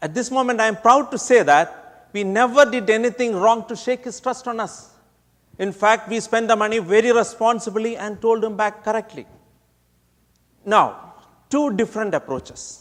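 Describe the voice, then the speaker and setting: A man with a Keralan accent speaks at a high pitch, with ordinary pitch variation. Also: moderate pace. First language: Malayalam. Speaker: speech contest competitor. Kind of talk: prepared contest speech.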